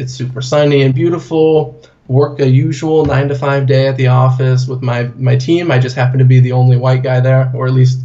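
In a room with audible echo, a man with an American accent speaks at a moderate pace, somewhat breathy and in a monotone, flat delivery. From US Pacific Northwest, Portland. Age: 20s. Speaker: corporate trainer and blogger. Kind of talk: interview. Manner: casual.

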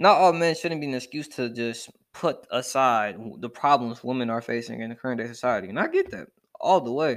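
A man at a fairly quick pace, animated in tone, with lively intonation and big swings in loudness. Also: medium pitch for a man, very clean recording, silent background. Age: young. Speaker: podcast host. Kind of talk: casual monologue.

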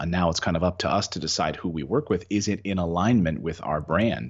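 His voice is very deep and low, with vocal fry throughout. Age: 40s. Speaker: real estate investor and former TV news anchor. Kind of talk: casual interview.

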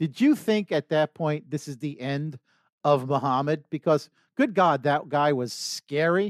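Fairly high in pitch, a man talks at a fairly slow pace in a New York accent. The sound is dry and close with no echo, on a very clean recording with a silent background. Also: ordinary pitch variation. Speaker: podcast co-host. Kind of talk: casual interview chat. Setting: studio.

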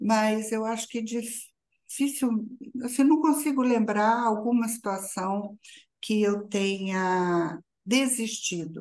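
At a very slow pace, a woman speaks in a fairly high pitch with ordinary pitch variation against a quiet background. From Brazil, interior of São Paulo state. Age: 60s. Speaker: strategic planner and university teacher. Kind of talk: interview.

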